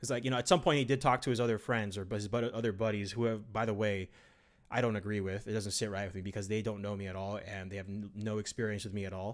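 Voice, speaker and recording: A man talks at a very fast pace with fairly even intonation in a very clean recording with a silent background. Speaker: gaming live streamer. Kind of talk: live stream chat. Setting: live stream.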